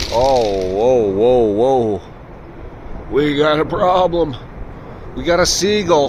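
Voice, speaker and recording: Against noticeable background noise, a man at medium pitch talks at a very slow pace with very wide pitch swings. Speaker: pigeon-feeding video creator. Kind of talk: casual vlog narration. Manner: chatty, playful.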